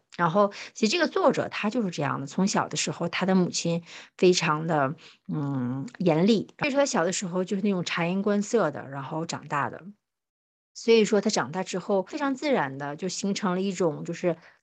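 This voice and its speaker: A woman's ordinary speaking voice at medium pitch, with lively intonation, a fairly quick pace and a quiet background. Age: 30s. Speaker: podcast co-host. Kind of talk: casual chat.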